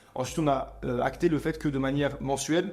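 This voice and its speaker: With ordinary pitch variation, a man rattles along at a very fast pace. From France, Montreuil near Paris. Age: 20s. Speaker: entrepreneur. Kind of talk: interview.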